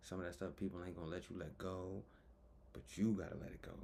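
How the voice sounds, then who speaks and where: At a fairly quick pace, a man speaks in a very deep, low voice with a dark, mellow tone and vocal fry. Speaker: vlogger. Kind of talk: personal vlog monologue. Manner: halting, with stutters and pauses.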